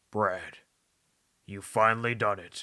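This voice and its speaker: A man's raspy, put-on character voice at a fairly low pitch. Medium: read story.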